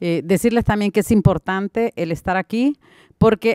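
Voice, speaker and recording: A woman speaks at a moderate pace in a medium pitch with ordinary pitch variation. The sound is dry with no echo, and the background is quiet. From Honduras. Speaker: mother of missing migrant, activist. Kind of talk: panel discussion. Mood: earnest, heartfelt. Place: hall. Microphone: podium.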